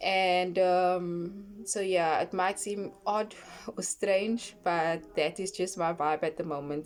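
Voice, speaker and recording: This woman speaks at a fairly slow pace. Her pitch is medium and her intonation fairly even. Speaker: online scripture reader and brand owner. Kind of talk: casual vlog talk. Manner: halting with pauses and fillers.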